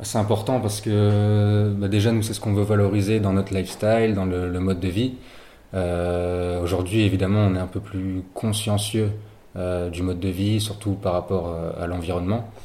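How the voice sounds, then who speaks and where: In a room with audible echo, a man with a fairly low voice speaks at a moderate pace in a monotone, flat way. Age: 21. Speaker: student entrepreneur. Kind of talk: interview. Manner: halting.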